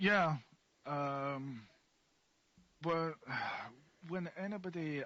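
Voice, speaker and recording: Ordinary pitch variation runs through this voice with an Edinburgh accent. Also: man. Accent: Scottish (Edinburgh). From Scotland, Edinburgh. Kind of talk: casual interview.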